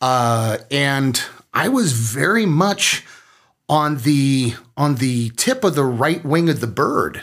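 A man's fairly high voice with an American accent, very slow delivery, lively intonation and very even loudness on a very clean recording with a silent background. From small-town Minnesota. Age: 50s. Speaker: military veteran and parent. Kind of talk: interview.

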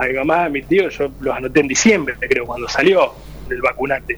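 There's noticeable noise in the background. Over it, a man talks fairly quickly. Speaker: local political candidate. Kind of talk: radio panel discussion.

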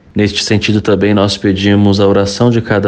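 Noticeable background noise runs under this recording. A man with a fairly low pitch talks at a moderate pace. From Brazil, Espírito Santo. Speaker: Franciscan friar, theology student. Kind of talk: personal testimony.

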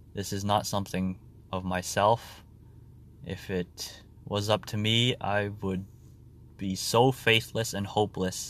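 With a Canadian accent, a man speaks at a fairly slow pace and fairly low pitch, his intonation monotone and flat. He leaves long, frequent pauses on a very clean recording with a silent background. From Ontario, Canada. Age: 20s. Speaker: podcaster. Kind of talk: personal diary monologue. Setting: in a car. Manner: halting.

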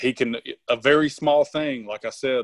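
Quiet background and a dry, close sound with no echo, with a man speaking in a Southern US accent. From Tennessee. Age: 40s. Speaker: strongman performer and sheriff's officer. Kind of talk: casual interview chat.

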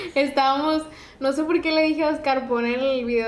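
Audible room echo surrounds a woman speaking at a moderate pace with fairly even intonation. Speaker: podcast host. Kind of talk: casual chat.

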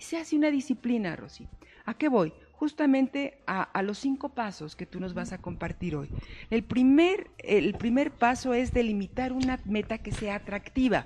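With noticeable background noise behind her, a woman speaks at a moderate pace in a high pitch, with very wide pitch swings and big swings in loudness. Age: 50s. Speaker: life coach and show host. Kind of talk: talk show interview.

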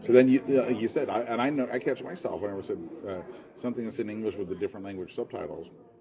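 Over noticeable background noise, a man speaks at a very fast pace in a medium pitch with lively intonation. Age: 40s. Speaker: comedy podcast host. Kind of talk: casual chat.

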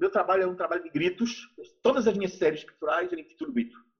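A man's high-pitched voice shows ordinary pitch variation as he talks. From Brazil, Recife (Pernambuco). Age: 60s. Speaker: visual artist. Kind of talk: interview.

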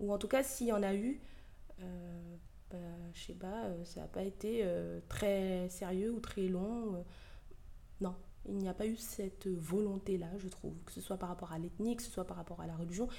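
A woman speaks at a fairly slow pace with long, frequent pauses. Her voice is medium in pitch with a dark, mellow tone. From Ivorian heritage. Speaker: podcast host. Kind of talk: opinion monologue. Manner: animated.

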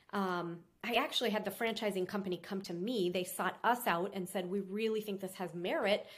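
In an American accent, a woman with a plain, everyday voice at a medium pitch talks at a fairly quick pace with fairly even intonation and hardly any pauses. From Minnesota. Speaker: restaurant owner and business consultant. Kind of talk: interview.

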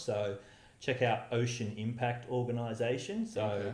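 In an Australian accent, a man speaks at a moderate pace and medium pitch with fairly even intonation, with noticeable background noise and audible room echo. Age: 30s. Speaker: environmentalist and charity founder. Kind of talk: interview.

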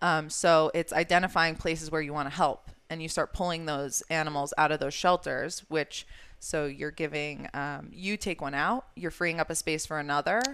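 Speaking at a moderate pace with hardly any pauses, a woman with an American accent and a very deep, low pitch keeps a fairly even intonation in a very clean recording with a silent background. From New York state. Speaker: animal shelter marketing manager. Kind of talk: casual interview chat.

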